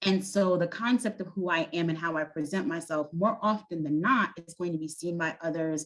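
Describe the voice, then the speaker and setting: Speaking at a fairly quick pace, a woman has a fairly low pitch, ordinary pitch variation, and a Brooklyn accent. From US Northeast, Brooklyn, New York. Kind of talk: panel discussion. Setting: video call, at home.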